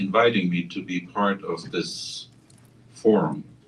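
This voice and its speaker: Speaking very slowly, a man with a German accent has a fairly low pitch. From Germany. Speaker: interfaith scholar. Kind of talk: panel talk.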